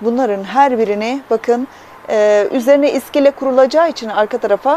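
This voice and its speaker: The sound is dry, with no echo. Light background noise can be heard. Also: woman. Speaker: plant hobbyist vlogger. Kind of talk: casual vlog chat. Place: home room. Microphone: phone near.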